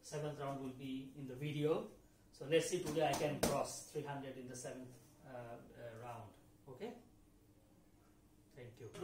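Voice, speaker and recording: Talking at a moderate pace with ordinary pitch variation, a man leaves long, frequent pauses while his loudness swings widely, with noticeable background noise and audible room echo. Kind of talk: casual vlog chat. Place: home room. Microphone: camera far.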